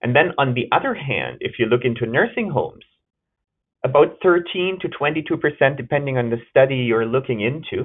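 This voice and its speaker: A man talks at a fairly quick pace in a fairly high pitch. His pitch varies in an ordinary way. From Germany. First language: German. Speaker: gerontology researcher and nurse. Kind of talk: webinar lecture. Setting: webinar.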